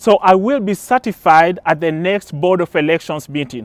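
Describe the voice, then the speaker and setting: A man with a Kenyan accent speaks at a moderate pace in a high pitch. The recording is very clean with a silent background, and the sound is dry and close with no echo. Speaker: political candidate. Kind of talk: campaign speech. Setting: outdoors in a park, small audience.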